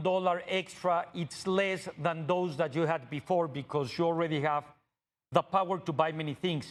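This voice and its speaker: A man with a Mexican accent at a moderate pace. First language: Spanish. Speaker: TV interviewer. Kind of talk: interview conversation. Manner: halting.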